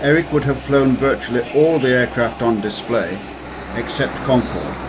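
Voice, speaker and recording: Over noticeable background noise, a man talks at a moderate pace and medium pitch with very even loudness and ordinary pitch variation. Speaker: former university air squadron member. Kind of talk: documentary narration.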